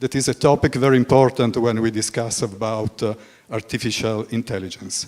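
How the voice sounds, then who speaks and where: This is a man speaking. He has an Italian accent. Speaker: moderator, journalist. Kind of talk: panel moderation. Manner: halting.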